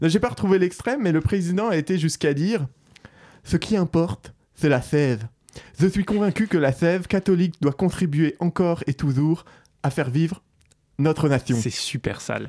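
Over a very clean, silent background, a man speaks at a moderate pace with long, frequent pauses. His voice is high-pitched with lively intonation and a dark, mellow tone, and the sound is dry and close with no echo. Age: 30s. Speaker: podcast host. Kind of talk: satirical news review.

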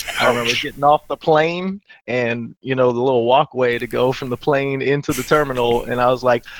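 This is a normal speaking voice at a fairly quick pace. The sound is dry and close, with no echo. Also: man. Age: 30s. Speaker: gamer and navy veteran. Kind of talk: casual chat.

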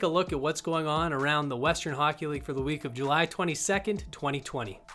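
Music plays in the background as a man speaks in an upbeat tone at a fairly quick pace. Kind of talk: podcast hosting and interview. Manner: clear, polished, upbeat announcer-style delivery.

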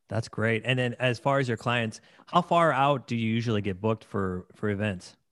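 On a very clean recording with a silent background, a man uses an ordinary speaking voice at a medium pitch, with a moderate pace and ordinary pitch variation. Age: 40s. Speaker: podcast host and wedding DJ. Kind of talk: casual interview.

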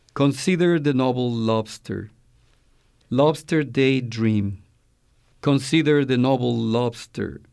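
A man with a Spanish accent speaks at medium pitch with ordinary pitch variation and very even loudness, at a very slow pace with long, frequent pauses, on a very clean recording with a silent background. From Mexico. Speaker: poet and college language instructor. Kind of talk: reading aloud poetry.

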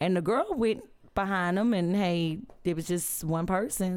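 A woman with a medium-pitched voice talks fairly slowly, her pitch varying in an ordinary way. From Louisiana (Alexandria area). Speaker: podcast cast member. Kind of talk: casual chat.

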